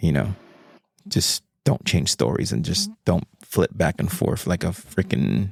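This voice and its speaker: A man speaks in a very deep, low pitch with vocal fry. The sound is dry and close, with no echo. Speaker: podcast host. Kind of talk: casual chat. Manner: casual, rambling filler words.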